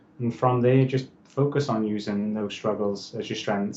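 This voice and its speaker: A man speaks in a Welsh accent at a medium pitch. His pace is moderate. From Wales. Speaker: motivational speaker and author. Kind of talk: interview.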